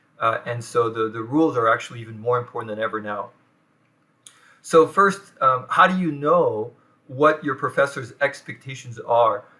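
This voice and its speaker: A man with a French accent speaks at a moderate pace in a medium pitch, his bright, sharp tone showing ordinary pitch variation and big swings in loudness. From France. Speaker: professor. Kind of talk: lecture. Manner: halting, many fillers.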